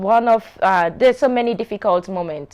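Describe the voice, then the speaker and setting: On a very clean recording with a silent background, a woman with a Sierra Leonean accent speaks at a moderate pace with ordinary pitch variation. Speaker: show host. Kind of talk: personal storytelling to camera.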